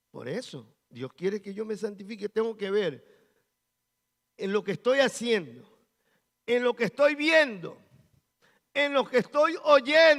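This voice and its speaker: This man talks at a very slow pace with a high pitch, lively intonation, big swings in loudness and long, frequent pauses, all in a dry, close sound with no echo. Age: 60s. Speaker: pastor. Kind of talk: sermon.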